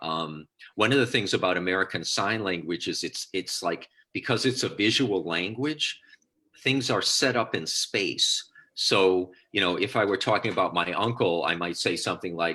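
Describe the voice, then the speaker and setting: In a very clean recording with a silent background, a man speaks at a moderate pace in a fairly low pitch, his tone bright and sharp and his pitch variation ordinary. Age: 60s. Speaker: solo theatre performer and writer. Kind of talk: interview.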